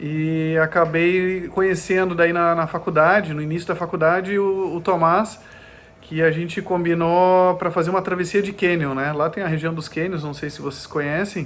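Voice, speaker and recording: This man speaks at a high pitch and a moderate pace. His intonation is monotone and flat. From southern Brazil (Gravataí, Porto Alegre area), partly Germany. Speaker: ultramarathon runner. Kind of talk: podcast interview. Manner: halting, many fillers.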